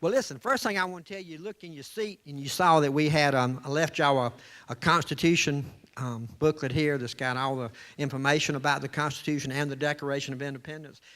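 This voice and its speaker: A man with a Southern US accent talks at a very fast pace in a bright, sharp, fairly high voice with ordinary pitch variation, on a very clean recording with a silent background. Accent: Southern US (Georgia). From US South, Georgia (Columbus). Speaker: storyteller, salesman. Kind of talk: storytelling to a live audience. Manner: animated, gestures with hands.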